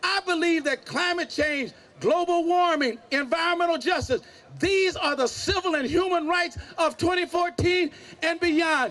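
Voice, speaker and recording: The pace is moderate and the tone bright and sharp. Loudness stays very even throughout. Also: man, extremely high pitch for a man, ordinary pitch variation. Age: 70s. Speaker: pastor and civil rights activist. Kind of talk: rally speech. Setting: outdoor rally with crowd. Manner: animated.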